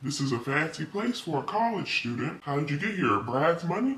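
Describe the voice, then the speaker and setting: Putting on a character voice, a man with a fairly high pitch talks at a fairly quick pace with very wide pitch swings over light background noise. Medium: solo performance. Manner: cryptic, low-key menace.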